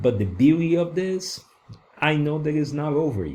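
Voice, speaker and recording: With noticeable background noise behind him, a man in a Brazilian accent talks at a moderate pace with ordinary pitch variation. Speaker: online course creator. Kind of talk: course lecture. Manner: halting, many fillers.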